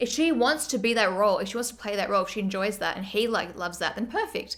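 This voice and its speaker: A woman with an Australian accent talks at a very fast pace, using ordinary pitch variation. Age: 20s. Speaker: streamer. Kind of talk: casual chat.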